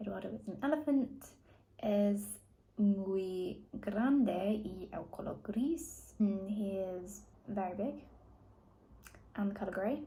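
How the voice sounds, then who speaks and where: In a room with audible echo, a woman with a dark, mellow tone and somewhat breathy voice speaks at a medium pitch and very slow pace, using ordinary pitch variation and long, frequent pauses. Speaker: language learner vlogger. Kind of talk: reading aloud and translating; casual vlog talk. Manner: halting.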